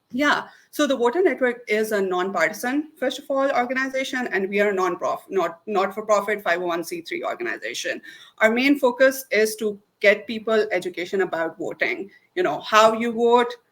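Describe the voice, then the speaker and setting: With a non-native accent, a woman speaks at a moderate pace in a fairly high pitch. Her pitch swings very widely. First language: not English. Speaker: voter outreach organizer. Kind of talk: interview.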